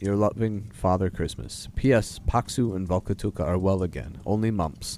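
The voice is natural. It is reading aloud.

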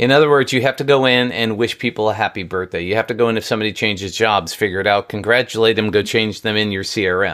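Speech with an American accent comes at a very fast pace with hardly any pauses and ordinary pitch variation. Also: man, fairly low pitch for a man. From New York. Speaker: marketing strategist and author. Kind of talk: casual interview chat.

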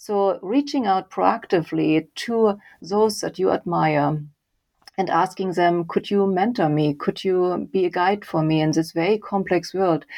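With a German accent, the speaker keeps a very even loudness and ordinary pitch variation. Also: woman, medium pitch for a woman, fairly slow pace. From Germany, Leipzig. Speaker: author and data visualization researcher. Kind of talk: interview.

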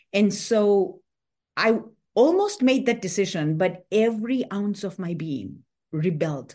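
In a dark, mellow tone, a woman speaks at a medium pitch and fairly slow pace against a quiet background. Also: lively intonation. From Tanzania. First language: not English. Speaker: author and former tech executive. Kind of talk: interview. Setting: remote call.

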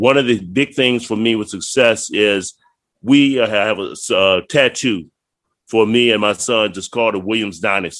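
This is a normal speaking voice from a man with a fairly low pitch, talking at a moderate pace with an American accent. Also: ordinary pitch variation. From Virginia, Prince George County. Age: 60s. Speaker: retired Air Force chief master sergeant. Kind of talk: casual chat.

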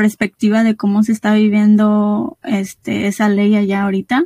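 Her voice dry and close with no echo, a woman speaks at a fairly slow pace with a fairly high pitch, a dark, mellow tone and a somewhat breathy quality. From Guanajuato, Mexico. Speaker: podcast host. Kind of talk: interview, casual chat.

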